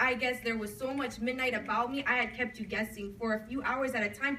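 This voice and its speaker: An intense, high-pitched woman's voice at a fairly quick pace, with ordinary pitch variation and noticeable background noise. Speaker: slam poet. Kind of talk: slam poetry performance. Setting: live coffee house event. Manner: emotional, intense.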